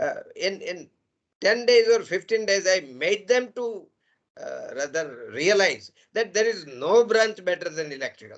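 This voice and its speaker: A high-pitched man with lively intonation at a fairly slow pace. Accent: Gujarati. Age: 70s. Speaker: engineering professor. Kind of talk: lecture. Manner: animated.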